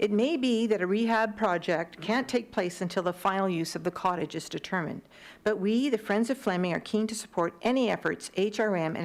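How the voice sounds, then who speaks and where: A woman with a plain, everyday voice at medium pitch speaks at a fairly quick pace with ordinary pitch variation on a very clean recording with a silent background. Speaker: community group presenter. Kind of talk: public presentation to committee. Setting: council committee meeting. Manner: formal.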